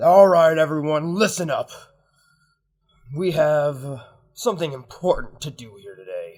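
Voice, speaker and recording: Putting on a character voice, a man speaks at a moderate pace and fairly high pitch, with long, frequent pauses. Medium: actual play. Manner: loud, pompous.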